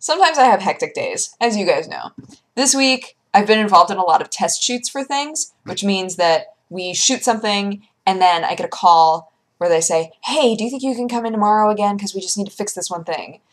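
A woman at a fairly quick pace, with lively intonation. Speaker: vlogger. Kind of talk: casual vlog chat. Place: home room. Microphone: webcam.

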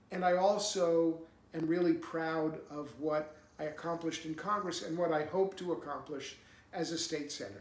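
Speech comes at a moderate pace with fairly even intonation. Audible room echo surrounds the voice. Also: man, high pitch for a man. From New Hampshire, USA. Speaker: political candidate and former congressman. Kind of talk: campaign speech to camera. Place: home room.

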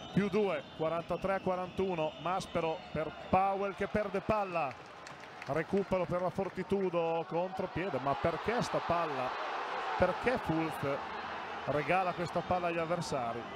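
Through noticeable background noise, a man speaks in a warm tone with a high pitch and ordinary pitch variation. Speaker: live TV basketball commentator. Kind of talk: live sports commentary, fast play-by-play of the action with short reactions. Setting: courtside at the arena, live TV broadcast. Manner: emotional, warm tone in the pre-game opening.

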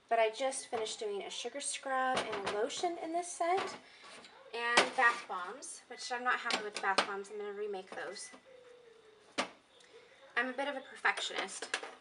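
A woman's speech full of long, frequent pauses, under loud background noise. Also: moderate pace. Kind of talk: tutorial. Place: home room. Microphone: camera far.

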